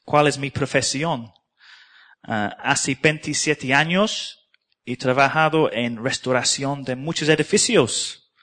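A man at a very slow pace, his tone bright and sharp. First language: English (speaking Spanish). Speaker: preacher. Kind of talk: sermon. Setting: church. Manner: halting.

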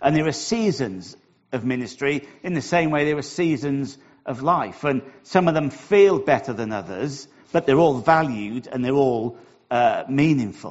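A man speaks with lively intonation and a warm tone. His pitch is fairly high and his pace moderate. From Wales. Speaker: church minister. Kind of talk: sermon. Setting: church. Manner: warm, humorous.

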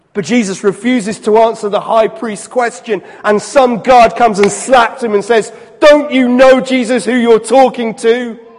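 A man speaks at an extremely high pitch for a man, at a moderate pace. His intonation is fairly even, with noticeable background noise behind him. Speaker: preacher. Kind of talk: sermon. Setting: church. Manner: building rhythmic repetition, solemn and emphatic; warm, pastoral, conversational.

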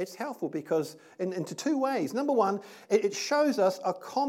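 The natural voice reading aloud carries lively intonation.

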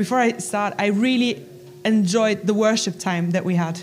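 A German accent at a moderate pace, with ordinary pitch variation and audible room echo. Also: woman. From Germany. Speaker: Bible college staff. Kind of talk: church talk. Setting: church.

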